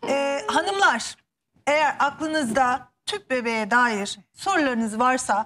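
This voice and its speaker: Here a woman speaks in a high voice with ordinary pitch variation. Light background noise sits behind her. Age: 30s. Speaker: TV show host. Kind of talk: TV interview. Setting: TV studio. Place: studio.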